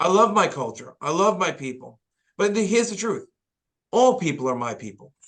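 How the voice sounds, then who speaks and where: A man with a New York accent, high-pitched, with very wide pitch swings and a fairly quick pace. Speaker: pastor. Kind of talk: podcast interview.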